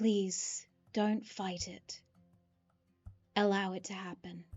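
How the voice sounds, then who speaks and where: A woman's booming yet whispering put-on character voice at a very slow pace, with faint music in the background. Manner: coaxing.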